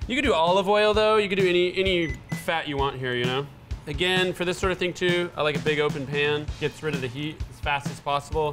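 A man's voice at a very fast pace, with ordinary pitch variation over clear music in the background. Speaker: chef host. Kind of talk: cooking tutorial. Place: kitchen. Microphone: lapel.

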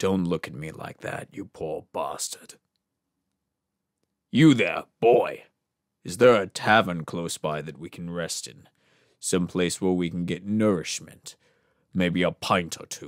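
The put-on character voice moves at a fairly slow pace, with long, frequent pauses and big swings in loudness. The recording is very clean, with a silent background. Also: man, very deep, low pitch for a man. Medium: voice reel. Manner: brusque, commanding.

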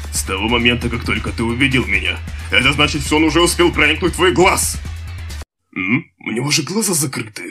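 In a put-on character voice, a man with a medium pitch races at a very fast pace through very wide pitch swings, broken by long, frequent pauses over faint music in the background. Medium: dub.

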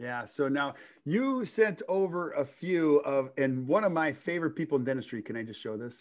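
A man with a fairly high voice speaks at a moderate pace against a quiet background, his intonation lively and his loudness swinging widely. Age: 50s. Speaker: podcast host for dentists. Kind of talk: interview. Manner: animated. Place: home room. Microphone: video call.

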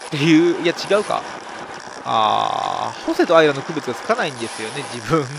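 Fairly high-pitched male speech amid noticeable background noise. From Nara, Japan. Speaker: professional road cyclist. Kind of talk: race commentary over onboard video. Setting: recorded voice-over of race footage. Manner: explanatory, conversational.

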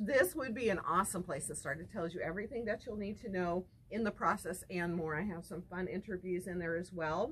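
The pace is fairly quick and the tone fairly bright. Pitch variation is ordinary. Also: woman, fairly low pitch for a woman.

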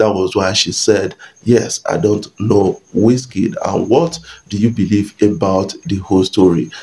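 Speaking fairly slowly, a man uses a fairly low pitch with ordinary pitch variation. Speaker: entertainment news YouTuber. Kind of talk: casual vlog commentary. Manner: hesitant, many fillers. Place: home room.

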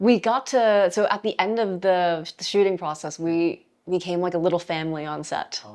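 Speaking with a New York accent, a woman uses a fairly low pitch, ordinary pitch variation, and big swings in loudness. She keeps a moderate pace with hardly any pauses against a quiet background. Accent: New York American. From New York City (Flushing, Queens). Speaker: film director. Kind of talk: interview. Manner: halting.

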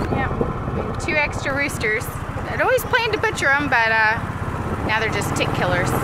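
Loud background noise runs under speech delivered at a fairly slow pace. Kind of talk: casual vlog chat. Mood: relaxed, easygoing. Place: farm machine. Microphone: phone near.

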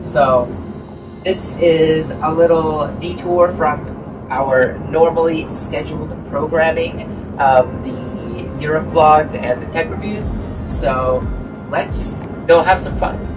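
A man speaks at a very slow pace, with long, frequent pauses. Noticeable background noise runs under his voice. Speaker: travel vlogger. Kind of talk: casual vlog chat. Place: car. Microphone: camera far.

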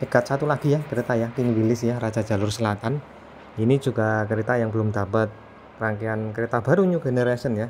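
A man at a medium pitch and fairly quick pace over light background noise. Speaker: railfan vlogger. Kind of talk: casual vlog narration. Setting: outdoors beside railway. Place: open country. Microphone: phone near.

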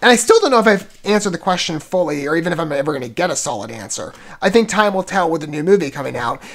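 Lively intonation marks this man's speech, delivered at a very fast pace. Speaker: video reviewer. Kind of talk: casual commentary and trailer reaction. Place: home room. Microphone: earbuds.

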